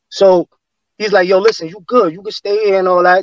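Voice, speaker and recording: A high-pitched man talks at a fairly quick pace. The sound is dry and close, with no echo. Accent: New York. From New York City, Flatbush Brooklyn. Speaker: former gang member. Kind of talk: casual interview storytelling. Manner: animated.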